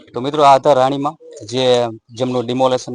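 Dry and close with no echo, a man speaks at a medium pitch. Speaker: local news reporter. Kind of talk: field news report and interview. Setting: outdoors on location in a village.

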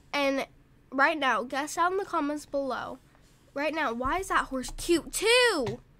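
Raising and projecting her high voice, a woman speaks with a bright, sharp tone and lively intonation. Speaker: gaming youtuber. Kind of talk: gameplay commentary. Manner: rambling, halting.

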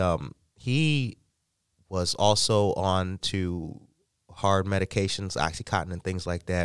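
Against a quiet background, a man with an American accent speaks at a very deep, low pitch with ordinary variation, the sound dry with no echo. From Illinois, Chicago area. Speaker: podcast host. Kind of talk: morning news podcast. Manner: halting. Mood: warm, reflective. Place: studio. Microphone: studio mic.

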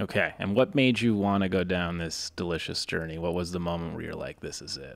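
A man's very deep, low voice with an American accent, a fairly quick pace and ordinary pitch variation. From Boston. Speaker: podcast host. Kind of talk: casual interview. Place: studio. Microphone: studio mic.

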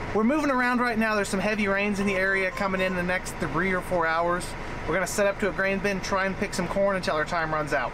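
A man speaks very fast in a raised, projected voice with very even loudness and ordinary pitch variation. Noticeable background noise is present. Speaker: farmer vlogger. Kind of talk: casual vlog chat. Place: farm machine. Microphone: phone near.

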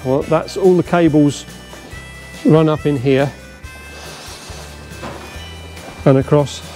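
A man at a fairly slow pace, ordinary pitch variation, faint music in the background. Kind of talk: guided explanation to visitors. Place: workshop. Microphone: camera far.

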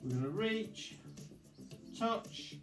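Clear music plays behind a man who speaks at a high pitch and a very slow pace. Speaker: fitness instructor. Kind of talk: exercise class instruction. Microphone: camera far.

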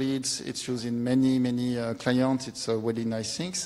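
A man talks with a French accent. His pace is moderate. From France. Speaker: software developer. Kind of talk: conference talk. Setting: stage with audience. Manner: halting. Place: hall.

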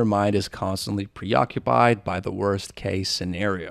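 A man's voice sounds dry with no echo against a quiet background. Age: 30s. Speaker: podcast host. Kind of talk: scripted introduction to camera. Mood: reflective, candid. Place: studio. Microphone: studio mic.

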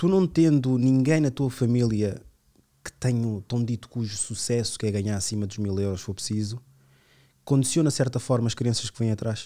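The recording is very clean, with a silent background, capturing a man's dark, mellow tone. He speaks at a medium pitch and moderate pace, with ordinary pitch variation. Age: 30s. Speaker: podcast host. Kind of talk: casual chat.

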